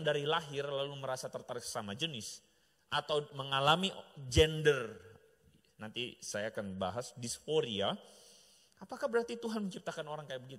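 Animated and bright with a sharp tone, a man talks at a fairly quick pace with very wide pitch swings and big swings in loudness over a quiet background. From Indonesia. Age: middle-aged. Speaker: pastor. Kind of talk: sermon. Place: church. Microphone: handheld.

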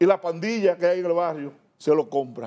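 Talking at a fairly quick pace against a quiet background, a man with a high pitch shows ordinary pitch variation. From Dominican Republic. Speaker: politician. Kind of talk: TV interview. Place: studio. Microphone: lapel.

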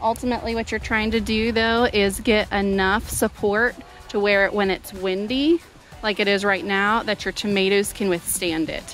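The sound is dry, with no echo. Faint music plays in the background. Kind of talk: tutorial. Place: garden. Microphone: phone near.

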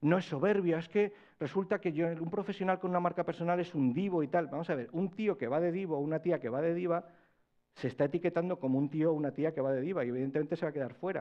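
Against a quiet background, a man talks at a very fast pace with a high pitch and ordinary pitch variation. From Spain. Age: 40s. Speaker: personal branding consultant; conference speaker. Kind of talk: conference talk. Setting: stage with audience. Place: hall. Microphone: lapel.

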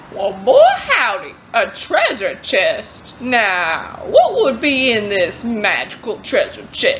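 A female-sounding put-on character voice at a very slow pace, over clear background noise. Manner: sly, drawling.

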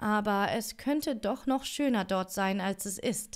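A woman talks in a calm, soothing tone with ordinary pitch variation. The background is quiet. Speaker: audiobook reader streamer. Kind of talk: fairy tale audiobook reading. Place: home room. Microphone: studio mic.

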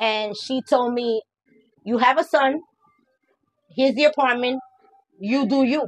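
Speech at a moderate pace with ordinary pitch variation comes through dry, without echo, over a quiet background. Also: woman. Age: 40s. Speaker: YouTuber's mother; interviewee. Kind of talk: casual chat. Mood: relaxed, candid, frank. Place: home room.

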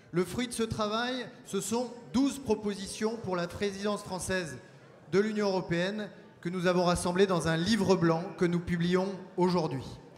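A man's high-pitched voice at a fairly slow pace, with ordinary pitch variation and light background noise. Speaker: party official hosting the event. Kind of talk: conference opening speech. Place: hall. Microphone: handheld.

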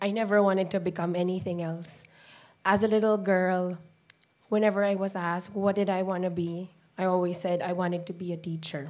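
The intonation here is monotone and flat. A woman delivers it at a fairly quick pace. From Philippines. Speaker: special education teacher. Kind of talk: talk to an audience. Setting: stage with audience. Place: hall. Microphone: handheld.

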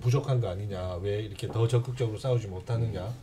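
A man's somewhat breathy, dark and mellow voice with ordinary pitch variation over light background noise. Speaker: broadcast union leader. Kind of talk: casual talk show discussion. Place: studio. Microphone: studio mic.

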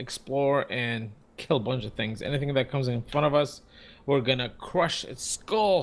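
At a moderate pace, a man speaks in a plain, everyday voice pitched fairly high. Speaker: gaming YouTuber. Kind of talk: gameplay commentary. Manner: laughs often.

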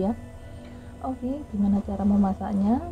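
A woman's voice over clear music in the background. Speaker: home cook vlogger. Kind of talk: cooking tutorial. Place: kitchen. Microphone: phone near.

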